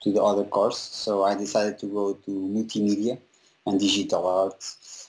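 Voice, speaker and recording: A man in a Portuguese accent speaks fairly slowly with a fairly low pitch. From Portugal, small town. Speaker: visual effects compositor. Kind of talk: interview. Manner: halting, many fillers.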